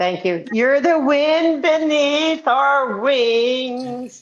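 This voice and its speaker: This voice has a Scottish accent. Its intonation is lively. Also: woman. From Scotland. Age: 50s. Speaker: livestream guest. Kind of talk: casual chat.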